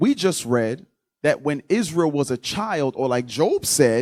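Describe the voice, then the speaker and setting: A man speaks with a fairly high pitch and very wide pitch swings. The sound is dry and close, with no echo. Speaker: Bible teacher. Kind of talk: Bible class teaching. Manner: slow.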